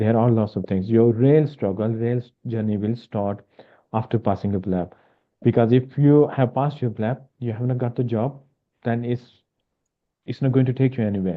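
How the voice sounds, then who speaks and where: The voice is a man's, at a medium pitch. He keeps his intonation fairly even. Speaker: medical education webinar presenter. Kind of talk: webinar presentation. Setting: online webinar. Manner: fast.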